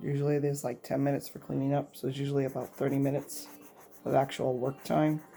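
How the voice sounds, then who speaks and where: A woman's voice is dark and mellow, with a very deep, low pitch. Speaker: elementary school art teacher. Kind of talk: tutorial.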